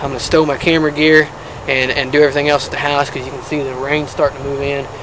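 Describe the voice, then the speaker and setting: Amid noticeable background noise, a man speaks at a very fast pace with a fairly high pitch. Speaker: bow hunter. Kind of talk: hunting video commentary. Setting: outdoors in a tree stand. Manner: halting with fillers.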